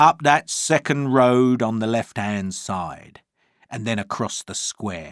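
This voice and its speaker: In a put-on character voice, a man sounds gruff at medium pitch, moving at a fairly slow pace with big swings in loudness over a very clean recording and a silent background. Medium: read story. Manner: angry, gruff.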